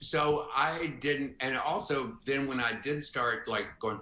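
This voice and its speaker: A man talks in an American accent with a bright, sharp tone. Audible room echo surrounds his voice. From US South (Florence, Alabama). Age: 60s. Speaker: retired advertising executive. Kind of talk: podcast interview. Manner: animated.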